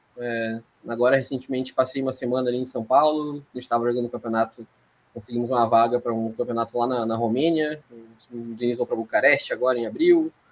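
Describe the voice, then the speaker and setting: Speaking at a very fast pace, a man holds a medium pitch in monotone, flat intonation. His loudness swings widely. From Rio Grande do Sul, Brazil. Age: 30s. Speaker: sports psychologist. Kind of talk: podcast interview. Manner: hesitant, many fillers and repetitions.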